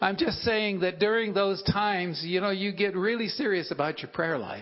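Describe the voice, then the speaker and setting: A man with an American accent speaks at a moderate pace in a high voice with ordinary pitch variation. Room echo is audible, and background noise is noticeable. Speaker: guest preacher. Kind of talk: sermon. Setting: church.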